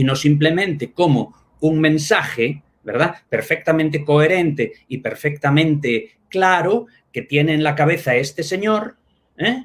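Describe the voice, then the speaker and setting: A man speaks in a Spanish accent at a fairly slow pace. His fairly high-pitched voice is somewhat breathy. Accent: Spain (Spanish accent). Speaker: linguistics professor. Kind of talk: academic talk in a live online discussion. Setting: live stream. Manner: halting, with many fillers.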